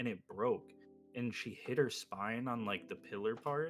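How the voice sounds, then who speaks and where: At a moderate pace, a man mumbles quietly with music in the background. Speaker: streamer. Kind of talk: casual chat. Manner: quiet, mumbling.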